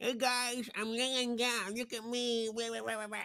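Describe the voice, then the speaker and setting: A put-on character voice at a fairly high pitch, delivered at a moderate pace. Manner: silly, mocking.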